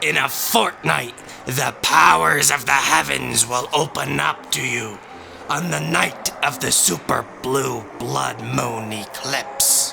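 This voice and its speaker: Over clear background noise, a man does a put-on character voice at a medium pitch and a fairly slow pace. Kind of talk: audio drama character voice.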